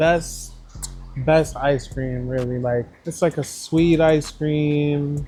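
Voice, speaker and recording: With an American accent, a man speaks in a relaxed tone over noticeable background noise. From Florida, Kissimmee, Haitian family. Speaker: rapper. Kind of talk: casual interview chat. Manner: relaxed, laid-back.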